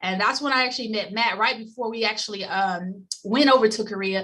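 A woman with a Tennessee accent, fairly high in pitch, bright and sharp in tone, with fairly even intonation at a fairly quick pace. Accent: US Southern (Tennessee). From Memphis, Tennessee. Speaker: former Olympic bobsledder, insurance agency executive. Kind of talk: podcast interview. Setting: remote call. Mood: cheerful, smiling storytelling. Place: office. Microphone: webcam.

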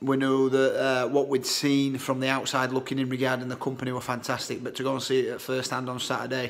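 A man speaks at a fairly quick pace in a monotone, flat intonation. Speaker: social media seller. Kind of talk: casual vlog chat. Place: home room. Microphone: phone near.

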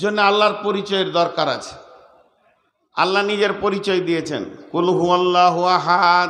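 A man's high-pitched, monotone voice with flat intonation, big swings in loudness and audible room echo. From West Bengal, Bardhaman. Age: 50s. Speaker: Islamic preacher. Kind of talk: sermon.

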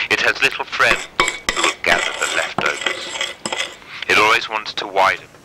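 Behind the recording there is noticeable background noise. A man talks fairly slowly. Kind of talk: spoken word poem, reading aloud. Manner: repetitive, looping, incantatory.

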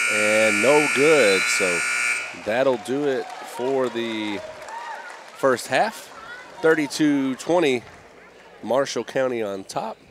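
Amid crowd noise in the background, a man talks at a very slow pace with long, frequent pauses. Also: dry sound with no echo. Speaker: basketball play-by-play announcer. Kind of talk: live sports commentary; sports commentary. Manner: excitable, energetic. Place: hall.

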